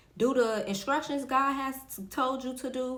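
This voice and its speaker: A woman talks at a fairly slow pace. Audible room echo and noticeable background noise surround her voice. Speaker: faith podcast host. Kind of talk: motivational faith talk. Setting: recording in front of a camera.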